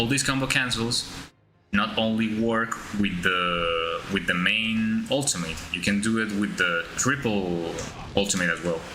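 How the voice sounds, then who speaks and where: Spoken at a fairly slow pace with a Spanish accent, this voice has ordinary pitch variation and very even loudness, with noticeable background noise and audible room echo. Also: man, fairly low pitch for a man. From Colombia. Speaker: gaming YouTuber. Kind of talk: live stream tutorial. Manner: halting, many fillers.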